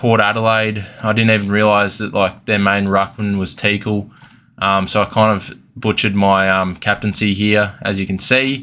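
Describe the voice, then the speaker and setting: A man in an Australian accent, fairly low in pitch, bright and sharp in tone, with flat monotone intonation at a moderate pace in a very clean recording with a silent background. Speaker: fantasy football youtuber. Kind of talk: casual review vlog. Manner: hesitant with many fillers.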